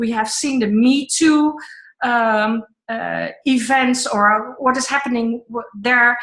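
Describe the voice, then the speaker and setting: A woman speaks at a very slow pace. Her pitch is high and her intonation fairly even. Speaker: online event host, co-founder of women's network. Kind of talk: online group call.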